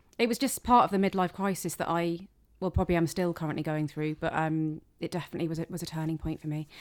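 Very fast speech in a British accent, in a very clean recording with a silent background. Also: woman, fairly low pitch for a woman, ordinary pitch variation. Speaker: comedian. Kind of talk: casual chat interview. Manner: sarcastic-sounding tone.

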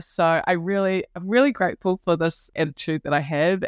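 A woman with a New Zealand accent, fairly low in pitch with ordinary pitch variation, at a moderate pace, against a quiet background with a dry, close sound and no echo. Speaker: self-worth coach. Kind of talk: casual interview chat.

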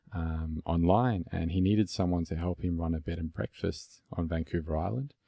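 A man speaks at a moderate pace with a very deep, low pitch in a dark, mellow, somewhat breathy tone. The sound is dry and close, with no echo. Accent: Australian. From Melbourne, Australia. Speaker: podcast host. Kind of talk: casual interview conversation.

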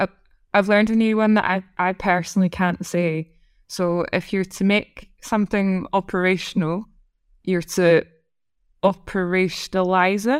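A woman with a Scottish accent speaks at medium pitch with fairly even intonation, the sound dry and close with no echo. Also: moderate pace, very clean recording, silent background. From Scotland. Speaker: head of data science. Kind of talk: casual interview chat.

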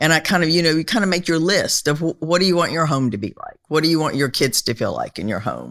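The speaker rushes along at a very fast pace with hardly any pauses, lively intonation and vocal fry. The recording is very clean, with a silent background. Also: woman, very deep, low pitch for a woman. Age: 60s. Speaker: host's mother. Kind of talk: casual chat.

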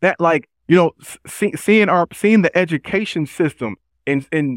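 A man with an American accent uses a normal speaking voice, fairly high in pitch with ordinary pitch variation. The recording is very clean and dry, close-sounding with a silent background and no echo. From Chicago South Side, US. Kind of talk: interview.

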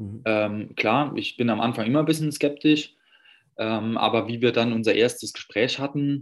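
Against a quiet background, a man with a medium pitch speaks with ordinary pitch variation. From Saarland, Germany. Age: 30s. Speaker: personal trainer. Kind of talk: interview. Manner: hesitant, many fillers.

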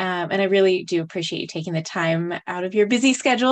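A woman speaks in an American accent at a medium pitch. Hers is an unremarkable speaking voice with ordinary pitch variation. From US Southwest, New Mexico. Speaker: podcast host. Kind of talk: interview.

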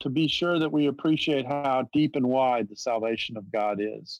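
Speaking with an American accent, a man with an ordinary speaking voice keeps a moderate pace and ordinary pitch variation. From US South. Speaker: theology professor. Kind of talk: interview, theological discussion.

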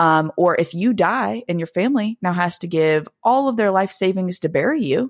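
A woman with an American accent speaks in a plain, everyday voice at medium pitch and a moderate pace. Her intonation is lively, and the recording is very clean with a silent background. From Blue Ridge Mountains, Virginia/West Virginia border. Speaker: podcast host, practicing witch. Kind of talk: casual chat.

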